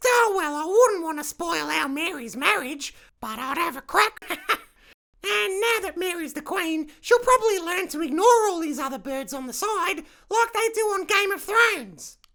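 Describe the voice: A female-sounding voice in a put-on character voice hits an extremely high pitch at a moderate pace.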